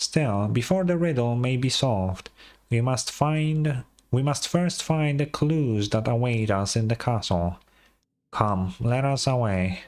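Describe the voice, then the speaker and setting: Putting on a nasal character voice at a medium pitch, a man speaks at a fairly slow pace. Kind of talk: archaic, storybook. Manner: theatrical.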